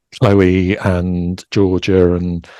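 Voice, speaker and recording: A man with a Yorkshire accent speaks at a very deep, low pitch in a dark, mellow tone. The recording is very clean, with a silent background. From East Yorkshire, England. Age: 60s. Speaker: knitwear designer. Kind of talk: interview. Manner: halting, many fillers and restarts.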